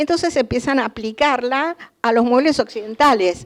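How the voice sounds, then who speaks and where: This woman talks at a moderate pace in a high-pitched voice. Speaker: art historian lecturer. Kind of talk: lecture.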